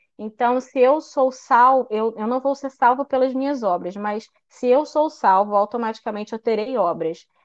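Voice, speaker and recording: A woman with a high pitch speaks at a moderate pace with ordinary pitch variation. She leaves hardly any pauses. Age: young. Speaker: church youth member leading devotional. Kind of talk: devotional talk.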